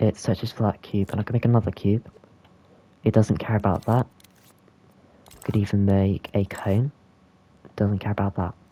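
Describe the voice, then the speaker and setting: A man's fairly low, dark and mellow voice at a moderate pace, with fairly even intonation, long and frequent pauses, and a dry, close sound free of echo. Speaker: game tutorial creator. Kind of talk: software tutorial narration. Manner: casual, hesitant.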